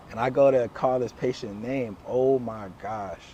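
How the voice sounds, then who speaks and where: Over noticeable background noise, a man at medium pitch speaks at a fairly slow pace with fairly even intonation. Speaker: chiropractor. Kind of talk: casual storytelling conversation. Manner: stutters, hesitant speech with fillers.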